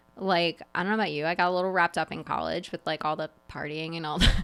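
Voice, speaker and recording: Very fast, animated speech from a woman with an American accent, music playing in the background. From New Jersey. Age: 30s. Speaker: real estate agent. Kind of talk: casual chat.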